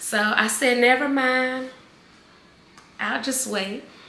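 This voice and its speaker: A woman's fairly slow speech is heard with audible room echo and noticeable background noise. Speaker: video blogger sharing cancer journey. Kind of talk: casual vlog. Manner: animated, conversational.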